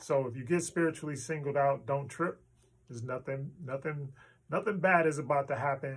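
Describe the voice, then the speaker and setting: Fairly high-pitched and somewhat breathy, a man speaks at a moderate pace with fairly even intonation. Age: 60s. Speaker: motivational speaker. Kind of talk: motivational monologue. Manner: casual, halting with fillers.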